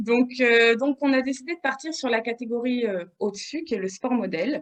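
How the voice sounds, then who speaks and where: This woman's voice is high in pitch, carrying ordinary pitch variation at a moderate pace. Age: 30s. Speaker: bodybuilding competitor and fitness coach. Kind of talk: podcast interview. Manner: hesitant, many fillers.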